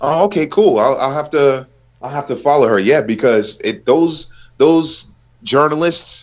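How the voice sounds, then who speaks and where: This man has a plain, everyday voice with an American accent and a fairly high pitch. He talks at a fairly slow pace with ordinary pitch variation. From United States. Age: 30s. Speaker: football commentator. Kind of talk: casual chat.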